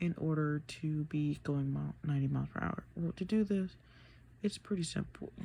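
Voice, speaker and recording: A woman whispers at a fairly slow pace. Her voice is somewhat breathy. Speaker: video creator explaining math. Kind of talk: casual tutorial. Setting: grandmother's house at night. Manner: whispering; halting, filler-heavy.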